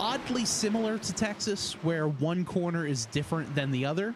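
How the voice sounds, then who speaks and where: A man with an American accent speaks at a moderate pace with lively intonation. Noticeable background noise is present. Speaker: sim racing commentator. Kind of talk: live commentary. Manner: casual, filler-heavy.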